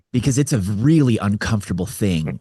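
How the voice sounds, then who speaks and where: Fairly low-pitched, somewhat breathy man's voice with an American accent, in a dry, close sound with no echo. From US West Coast (Orange County, California). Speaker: men's coach, suicide survivor. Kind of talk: interview. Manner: halting, repetitive.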